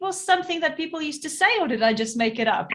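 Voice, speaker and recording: A woman speaks with a South African accent. Her intonation is lively. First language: Afrikaans. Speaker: podcast host, entrepreneur. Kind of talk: casual interview chat.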